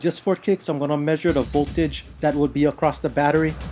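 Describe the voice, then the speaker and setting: Music plays behind speech delivered at a fairly quick pace. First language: Hawaiian Pidgin. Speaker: retro console repair hobbyist. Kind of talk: tutorial narration. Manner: casual.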